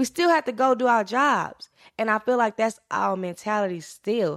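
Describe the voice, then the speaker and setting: A woman with a fairly high pitch speaks in an American accent. The sound is dry and close with no echo, on a very clean recording with a silent background. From rural Louisiana, US South. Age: 20s. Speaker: podcast host. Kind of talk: personal monologue, storytelling.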